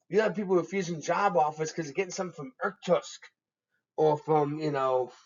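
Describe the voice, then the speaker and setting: The speaker has a Massachusetts accent. The pace is fairly quick. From Massachusetts, New England. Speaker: economics professor. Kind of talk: lecture. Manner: conversational, with many fillers.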